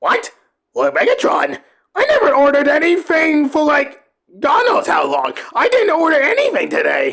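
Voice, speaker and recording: This man puts on a character voice, pitched extremely high and delivered at a moderate pace. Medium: audio drama. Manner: defensive, whiny.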